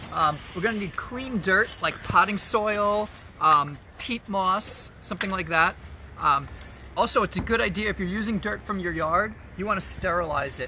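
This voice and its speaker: A man speaks at a moderate pace in a raised, projected voice. The sound is dry with no echo, over light background noise. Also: ordinary pitch variation. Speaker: art class instructor. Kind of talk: tutorial. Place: garden. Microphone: phone near.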